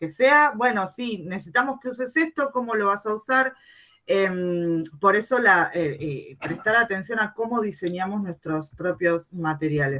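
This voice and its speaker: A woman's bright, sharp voice at medium pitch, fairly slow, with very wide pitch swings. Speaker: English teacher and researcher. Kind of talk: conference presentation. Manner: halting with fillers.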